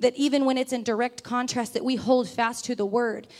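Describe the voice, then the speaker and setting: On a very clean recording with a silent background, a woman with a high pitch talks fairly quickly in a flat, monotone way. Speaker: preacher. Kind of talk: sermon. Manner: fast.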